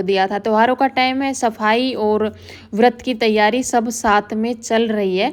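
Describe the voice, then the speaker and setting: A woman speaks in a fairly high, monotone voice with flat intonation. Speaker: vlogger, housewife. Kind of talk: voice-over vlog narration. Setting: quiet room, fan off.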